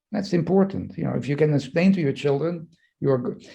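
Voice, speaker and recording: This man's voice has a dark, mellow tone with vocal fry. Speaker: psychoanalyst and leadership professor. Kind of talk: interview conversation. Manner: fast; halting, many fillers and repetitions.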